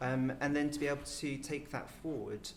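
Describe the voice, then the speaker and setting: A soft-spoken man talks over noticeable background noise, with audible echo from the room. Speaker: medical doctor and former programme participant. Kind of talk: panel discussion. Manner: halting, many fillers; quiet and softly spoken.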